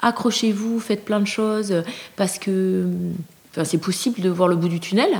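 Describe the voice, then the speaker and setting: Noticeable background noise fills the clip. A woman is the one talking. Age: 50s. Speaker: person living with a mental illness. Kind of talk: testimony.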